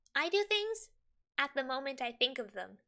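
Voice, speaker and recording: An animated, raised, projected voice with a bright, sharp tone, very wide pitch swings and a moderate pace. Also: woman. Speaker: streamer. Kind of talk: casual livestream, reading quiz questions aloud. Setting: livestream. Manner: chatty, animated.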